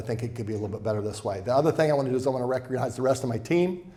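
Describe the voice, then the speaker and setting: A man's medium-pitched voice amid audible room echo. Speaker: financial advisor. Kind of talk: seminar presentation. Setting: event room with live audience. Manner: fast.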